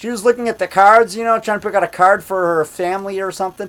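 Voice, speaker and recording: A man speaking at a fairly quick pace. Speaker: independent monster movie maker and actor. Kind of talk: casual vlog monologue. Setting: indoors at home. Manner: loud; animated.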